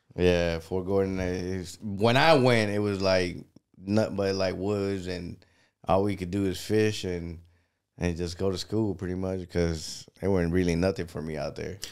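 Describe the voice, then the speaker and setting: With a Spanish accent, a man speaks at a moderate pace in a very deep, low pitch, keeping his intonation fairly even. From Panama. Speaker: soldier and DJ streamer. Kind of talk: casual chat.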